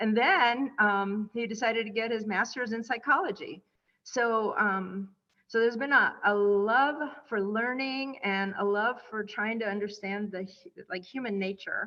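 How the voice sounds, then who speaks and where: With a Spanish accent, a woman talks at a fairly slow pace in a fairly high voice with ordinary pitch variation. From Cuba, raised in small-town Indiana. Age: 60s. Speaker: author and motivational speaker. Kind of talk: interview chat. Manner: hesitant, frequent fillers.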